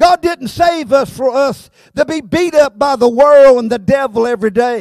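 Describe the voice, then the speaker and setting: A man with a Southern US accent speaks at an extremely high pitch, using lively intonation and a fairly slow pace. The sound is dry with no echo, and the background is quiet. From South Carolina. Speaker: pastor. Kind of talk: sermon. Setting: church. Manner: animated. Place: church. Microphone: handheld.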